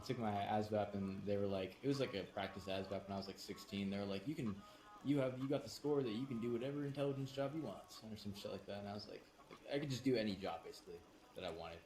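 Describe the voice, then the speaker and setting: Talking very fast over noticeable background noise, a man with an American accent uses a fairly low pitch and ordinary pitch variation. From California, San Diego. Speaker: gaming streamer. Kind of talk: casual chat.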